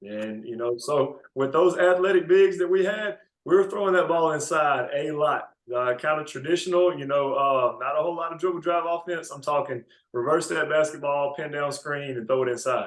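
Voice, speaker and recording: With a Mississippi accent, a man talks at a moderate pace, his pitch fairly high and its variation ordinary. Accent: Mississippi Southern US. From US South. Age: 20s. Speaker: basketball coach. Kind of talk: interview. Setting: podcast.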